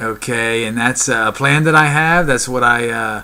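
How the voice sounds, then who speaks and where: With noticeable background noise behind him, a man speaks at a medium pitch. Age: 50s. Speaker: fitness vlogger. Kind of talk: motivational talk to camera. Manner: halting, many fillers.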